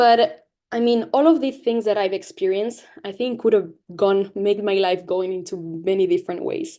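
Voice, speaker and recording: This woman talks with a Latin American accent and lively intonation. Her fairly high voice has a dark, mellow tone. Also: moderate pace. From Latin America (Mexico, Peru, Spain). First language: Spanish. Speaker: guest speaker, activist. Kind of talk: presentation to school classes. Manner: halting, with false starts.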